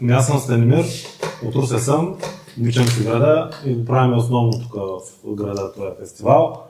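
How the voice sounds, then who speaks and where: The speech comes at a moderate pace with ordinary pitch variation and long, frequent pauses, with audible room echo and noticeable background noise. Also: man, medium pitch for a man. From Bulgaria, Ruse. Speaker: festival organizer. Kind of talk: casual podcast chat.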